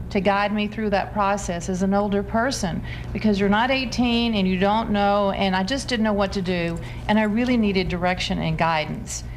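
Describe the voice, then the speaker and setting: A woman at a moderate pace and medium pitch, with ordinary pitch variation, noticeable background noise and audible room echo. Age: 60s. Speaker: returning college student. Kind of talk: TV talk show interview.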